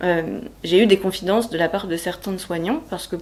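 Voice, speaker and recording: Speaking at a moderate pace, a woman with an unremarkable speaking voice keeps a fairly low pitch and ordinary pitch variation. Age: 30s. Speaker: healthcare worker and cancer patient. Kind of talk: personal testimony interview.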